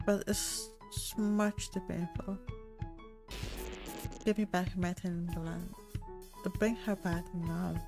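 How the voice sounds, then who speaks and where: Over music in the background, a soft-spoken woman talks at medium pitch and a very slow pace, leaving long, frequent pauses. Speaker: gamer. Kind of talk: let's play commentary.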